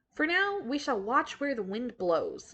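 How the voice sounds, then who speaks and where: A woman does a put-on character voice pitched high, with very wide pitch swings. Her pace is fairly slow. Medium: read story. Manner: measured, soothing.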